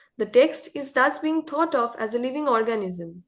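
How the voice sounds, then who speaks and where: A woman speaks at a high pitch with a Bengali accent. Her intonation is lively, her pace moderate, and the background quiet. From India. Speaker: contributor to a literary magazine. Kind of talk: reading aloud of an essay.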